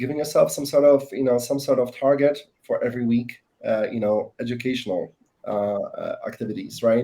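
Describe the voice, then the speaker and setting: A man speaks with a non-native accent. He keeps a fairly quick pace. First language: not English. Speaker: sales professional. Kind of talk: panel discussion. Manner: halting, many fillers.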